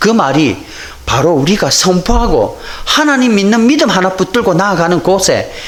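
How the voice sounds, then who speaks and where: High-pitched male speech with a Busan accent at a moderate pace, plus noticeable background noise and audible room echo. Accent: Busan dialect intonation. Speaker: pastor. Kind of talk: sermon.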